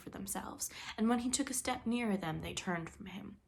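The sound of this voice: Unforced reading voice throughout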